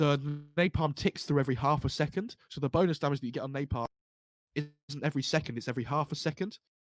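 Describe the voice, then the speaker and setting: A man with an English accent talks at a very fast pace and fairly high pitch. The pitch varies in an ordinary way, and the sound is dry and close with no echo. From England. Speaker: esports commentator. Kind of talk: live commentary.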